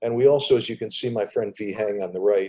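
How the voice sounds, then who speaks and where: A man speaking with an American accent. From Kansas, US. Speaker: Rotary club president, sports coach. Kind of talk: presentation. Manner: halting, many fillers and repeats.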